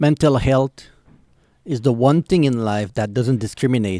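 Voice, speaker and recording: A man's dark, mellow voice with a Quebec accent, dry and close with no echo. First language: French. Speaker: YouTube reactor. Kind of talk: reaction video commentary. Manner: halting.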